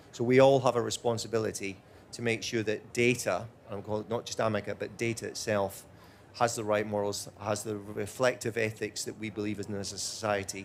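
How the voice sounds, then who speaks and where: With a Scottish accent, a man speaks at a fairly quick pace in a fairly low pitch and a monotone, flat intonation. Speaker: robotics executive. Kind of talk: panel Q&A answering audience. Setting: stage with audience.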